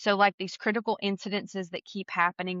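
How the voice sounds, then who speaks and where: Someone speaking at a fairly quick pace with an American accent, in a monotone with flat intonation. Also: woman. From US South. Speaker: podcast co-host. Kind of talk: casual interview chat. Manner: fast.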